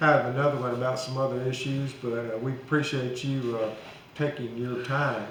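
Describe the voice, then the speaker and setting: With an Alabama accent, a man speaks at a medium pitch amid noticeable background noise and audible room echo. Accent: Southern US (Alabama). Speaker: local show host. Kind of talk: casual interview.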